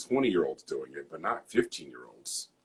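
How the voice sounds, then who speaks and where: A man speaks at a fairly quick pace with ordinary pitch variation. It is an unremarkable speaking voice. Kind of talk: casual chat.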